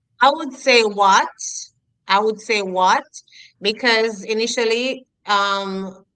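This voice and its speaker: In a Jamaican accent, the speaker talks at a very slow pace with long, frequent pauses, a bright, sharp tone and ordinary pitch variation. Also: woman, fairly high pitch for a woman. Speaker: educator. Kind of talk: interview.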